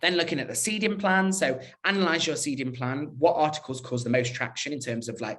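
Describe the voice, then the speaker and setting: There is audible echo from the room. A man's delivery moves fairly quickly. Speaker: digital PR professional at a fashion brand. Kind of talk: conference talk. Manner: fast.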